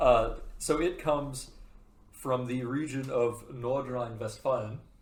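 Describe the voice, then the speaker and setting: Audible room echo surrounds a man who speaks fairly slowly with an American accent. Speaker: podcast host. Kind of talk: casual chat. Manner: rambling, self-interrupting.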